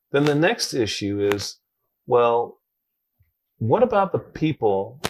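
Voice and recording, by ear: The man's voice sits at a fairly low pitch with ordinary pitch variation. He speaks at a fairly slow pace.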